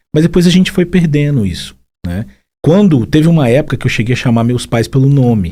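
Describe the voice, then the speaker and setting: This voice has a dark, mellow tone and is somewhat breathy. It moves at a fairly quick pace with very wide pitch swings. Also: man, fairly high pitch for a man. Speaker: psychologist. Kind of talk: casual chat.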